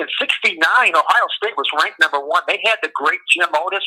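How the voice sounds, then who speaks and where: A man with an American accent, in a dry, close sound with no echo. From Michigan. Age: 60s. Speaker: caller. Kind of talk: casual chat. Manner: halting.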